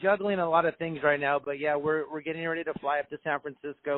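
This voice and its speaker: The speaker has an American accent and moves at a fairly quick pace. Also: man. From Southern California. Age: 40s. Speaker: radio DJ and punk band singer. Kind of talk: interview. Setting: phone call. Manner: relaxed, inviting.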